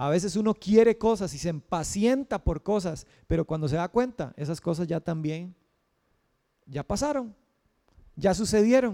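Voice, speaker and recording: Speaking at a fairly slow pace, a man uses lively intonation in a dark, mellow tone, heard dry and close with no echo. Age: 30s. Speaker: pastor. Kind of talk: sermon.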